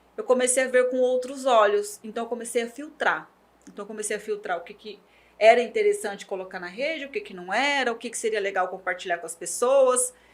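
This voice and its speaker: Using a plain, everyday voice, a woman talks at a fairly quick pace with ordinary pitch variation and big swings in loudness. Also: fairly high pitch for a woman. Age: 40s. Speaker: journalist and digital media professional. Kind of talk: interview.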